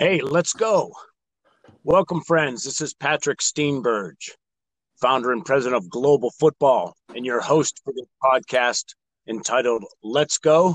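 A man with an American accent speaks at a fairly slow pace with lively intonation, and the sound is dry and close with no echo. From Erie, western Pennsylvania. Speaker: podcast host. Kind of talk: interview.

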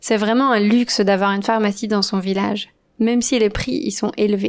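A woman's fairly high voice moves at a fairly slow pace. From western France. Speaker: language teacher podcaster. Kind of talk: scripted narration. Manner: slow and clear for learners.

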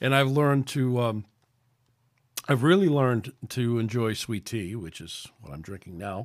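A man with a New York accent and a medium pitch talks at a moderate pace with lively intonation and big swings in loudness, in a very clean recording with a silent background. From New York City. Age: 60s. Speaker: podcast host. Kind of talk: casual chat. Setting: at home.

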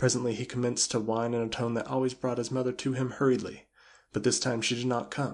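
The clip features an unforced reading voice.

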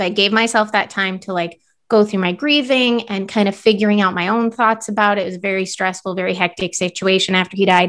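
Against a quiet background, a woman speaks very fast with fairly even intonation. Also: medium pitch for a woman. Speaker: podcast co-host. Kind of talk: casual chat.

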